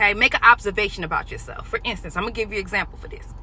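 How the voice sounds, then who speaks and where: A woman talks in an excited tone. Noticeable background noise sits behind her. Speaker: life coach. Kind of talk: motivational talk to camera. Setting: in a car. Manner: loud; fast, excited, tongue-tied.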